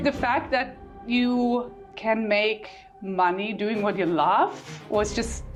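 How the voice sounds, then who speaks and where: Music plays behind a woman speaking at a very slow pace. Her fairly high voice holds a very even loudness and ordinary pitch variation. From Germany. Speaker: photographer. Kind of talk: interview answer.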